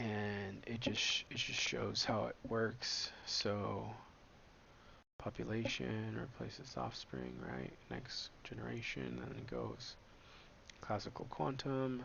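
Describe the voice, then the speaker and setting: The man talks very slowly, and room echo can be heard. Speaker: startup founder presenting research. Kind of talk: slide presentation. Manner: monotone; filler-heavy, halting.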